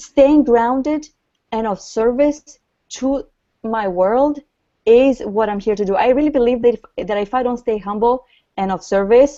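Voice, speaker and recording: A woman with a non-native accent speaks at a moderate pace in a high pitch with a dark, mellow tone, ordinary pitch variation and long, frequent pauses. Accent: noticeable foreign. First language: not English. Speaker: author and grief coach. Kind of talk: interview.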